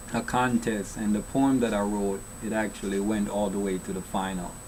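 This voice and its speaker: A man speaks at a fairly low pitch with a Jamaican accent. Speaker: children's author. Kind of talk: casual interview. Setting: studio.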